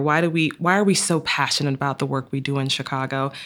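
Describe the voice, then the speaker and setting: In a very clean recording with a silent background, a woman with an American accent speaks at a fairly quick pace in a very deep, low pitch. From US South, Georgia. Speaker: pharma innovation director. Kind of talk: panel discussion.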